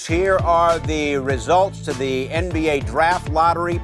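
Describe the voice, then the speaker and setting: Over music in the background, the man talks fairly slowly. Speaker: sports show host. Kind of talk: sports talk show hosting.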